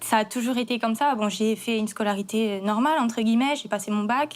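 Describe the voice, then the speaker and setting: A woman has a fairly high voice with normal pitch movement. She goes at a moderate speed. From Corsica. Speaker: chef. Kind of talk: testimony. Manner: halting.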